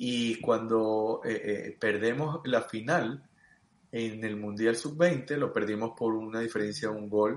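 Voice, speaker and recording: A man's words come out at a very slow pace over a quiet background. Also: medium pitch for a man, ordinary pitch variation. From Venezuela (Los Teques, Mérida). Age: 40s. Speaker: sports coach. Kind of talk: interview. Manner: halting, repeats words.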